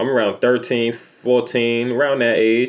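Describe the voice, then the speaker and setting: A man with a New York accent, medium pitch, moderate pace and an animated tone. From New York City. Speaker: YouTuber telling life stories. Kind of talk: storytime monologue. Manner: casual, animated.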